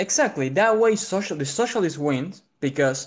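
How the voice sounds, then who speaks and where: At a moderate pace, a man speaks in a fairly high pitch against a quiet background. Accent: strong Argentine. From Argentina. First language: Spanish. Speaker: caller debating a political view. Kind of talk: debate. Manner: polite, measured.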